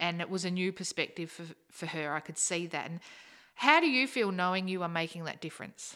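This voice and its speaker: In an Australian accent, a woman with a fairly low pitch and a bright, sharp tone speaks at a fairly quick pace with ordinary pitch variation, on a very clean recording with a silent background. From South Australia, Naracoorte. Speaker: secondary school teacher. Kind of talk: casual chat.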